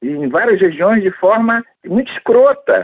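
A man speaks at a fairly slow pace in a high pitch. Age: 70s. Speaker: former federal deputy. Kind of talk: interview answers.

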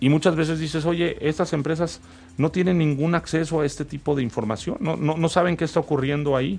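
A man talks fairly quickly at a fairly high pitch, a normal speaking voice with ordinary pitch variation. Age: 40s. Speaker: company founder. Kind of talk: interview.

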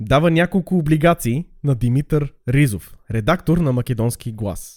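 His tone is dark and mellow, yet fairly high in pitch for a man. The recording is very clean, with a silent background. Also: dry, close sound with no echo. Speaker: podcast host, history storyteller. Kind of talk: casual comedic storytelling.

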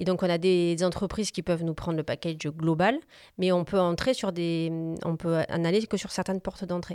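A woman speaks at a moderate pace, her voice fairly low with a dark, mellow tone. The sound is dry and close with no echo, on a very clean recording with a silent background. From southern France, Montpellier. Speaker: business coach and consultant. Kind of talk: interview conversation. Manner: hesitant, many fillers.

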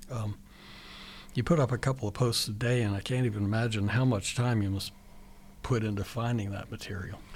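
Somewhat breathy and fairly quick, the speaker has an American accent, fairly even intonation and long, frequent pauses. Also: man, medium pitch for a man. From Virginia. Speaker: radio host. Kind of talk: radio interview. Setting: radio studio.

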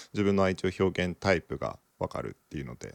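A man's voice with vocal fry, dry and close with no echo, on a very clean recording with a silent background. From Japan, Okinawa. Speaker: podcast co-host. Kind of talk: casual chat.

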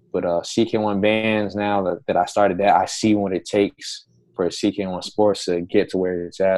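Against a quiet background, a man with a fairly low pitch speaks in monotone, flat intonation. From Rhode Island. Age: 20s. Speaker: sports entrepreneur. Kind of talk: casual chat.

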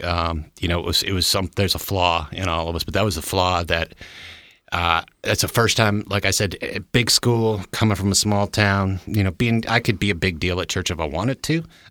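Heard on a very clean recording with a silent background, a man with an American accent speaks at a moderate pace in a very deep, low pitch, his tone bright and sharp and his intonation fairly even. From Michigan, US Midwest. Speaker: church member sharing recovery testimony. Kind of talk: testimony. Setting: studio.

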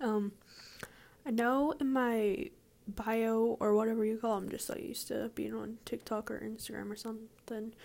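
Speaking quietly at a moderate pace, a woman uses a fairly high pitch with ordinary pitch variation. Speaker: podcaster. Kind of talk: casual monologue. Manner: hesitant.

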